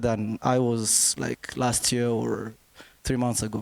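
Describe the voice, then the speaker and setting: Here a man talks with a non-native accent at a medium pitch and fairly slow pace. His intonation is monotone and flat, and the sound is dry and close with no echo. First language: not English. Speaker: brand designer, panelist. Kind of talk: panel discussion.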